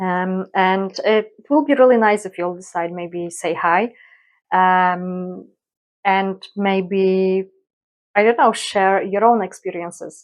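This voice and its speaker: A woman with a Polish accent. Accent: Polish accent, non-native English. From Poland. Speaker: colouring YouTuber. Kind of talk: casual vlog introduction. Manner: hesitant, many fillers.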